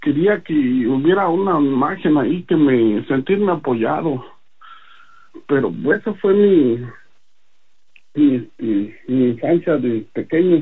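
A man speaks at a very slow pace with long, frequent pauses. His intonation is lively. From Mexico City. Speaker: religious testimony giver. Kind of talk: testimony. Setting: phone call.

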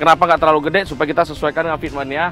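Faint music plays in the background as a man speaks in a dry sound with no echo. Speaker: car reviewer. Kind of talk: casual vlog chat. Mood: joking, playful. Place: street.

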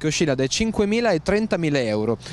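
A man speaks at a fast pace.

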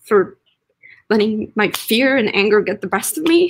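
Over a quiet background, a woman speaks at a fairly slow pace. Her somewhat breathy voice makes very wide pitch swings. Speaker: actor, workshop participant; actor. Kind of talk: dramatic scene reading. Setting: video call. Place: home room.

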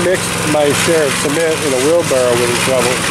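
Loud background noise sits under a fairly quick pace, and the sound is dry with no echo. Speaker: vlogger filming his workers. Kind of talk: casual vlog chat. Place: street. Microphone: phone near.

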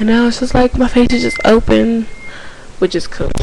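Noticeable background noise sits behind a woman as she talks. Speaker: hair vlogger. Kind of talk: casual vlog chat. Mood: relaxed, slightly unsure. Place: home room. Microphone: handheld.

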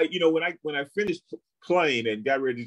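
Very fast delivery from a man, quiet surroundings. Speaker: interview guest. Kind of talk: interview answer. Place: home room.

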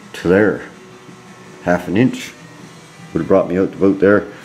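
Music plays in the background as a man talks at a fairly quick pace. His voice is fairly low, with fairly even intonation. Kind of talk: casual explanatory vlog chat. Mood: mildly frustrated, thoughtful. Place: garage. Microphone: phone near.

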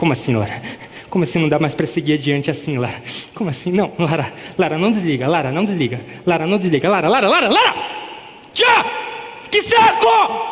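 A man with lively intonation at a fairly quick pace. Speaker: stage actor. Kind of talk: theatrical monologue, one side of a phone argument. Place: stage. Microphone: headset.

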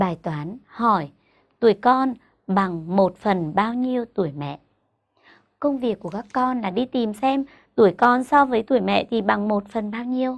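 Lively intonation carries a fairly slow delivery against a quiet background. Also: woman, fairly high pitch for a woman. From Vietnam. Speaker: primary school teacher. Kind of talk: tutorial. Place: studio. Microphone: lapel.

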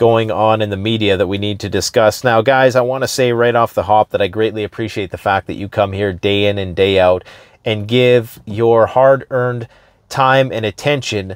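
A man with a plain, everyday voice speaks at a fairly low pitch and a moderate pace, with fairly even intonation. The background is quiet and the sound is dry with no echo. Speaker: preparedness channel host. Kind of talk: casual vlog commentary. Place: car. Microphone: lapel.

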